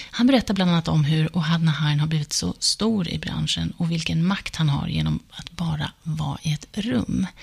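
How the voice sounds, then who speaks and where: Noticeable background noise runs behind a woman's voice. She speaks at a fairly quick pace with hardly any pauses. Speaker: podcast host, journalist and dancer. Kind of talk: podcast intro and outro.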